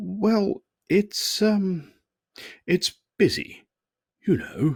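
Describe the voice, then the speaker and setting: In a put-on character voice, fairly high in pitch, the words come at a very slow pace. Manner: hesitant.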